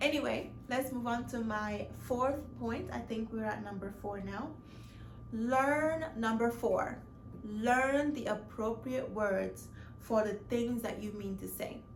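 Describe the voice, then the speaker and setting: A woman speaks at a very slow pace amid noticeable background noise and audible room echo. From Mali, West Africa. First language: not English; speaks French. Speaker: lifestyle vlogger. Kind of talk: casual vlog monologue. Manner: hesitant, many fillers and restarts.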